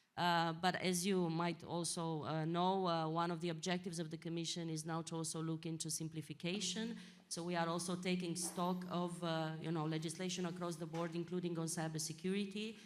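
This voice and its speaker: A woman's fairly low voice, fairly quick and flat in monotone, with hardly any pauses and audible room echo. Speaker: European Commission official. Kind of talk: panel discussion. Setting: conference stage with audience. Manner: loud; halting. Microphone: too far from the mic.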